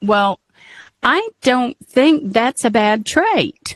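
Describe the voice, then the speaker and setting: A woman speaks with an American accent and lively intonation. The sound is dry and close, with no echo. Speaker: podcast co-host. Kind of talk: casual chat.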